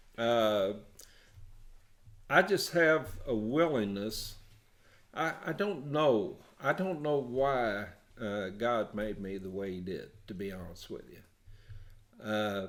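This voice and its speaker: A man with a medium pitch speaks very slowly, leaving long, frequent pauses. His intonation is lively, his loudness swings widely, and the room echo is audible. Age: 70s. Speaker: prison ministry volunteer. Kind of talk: casual chat. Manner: halting.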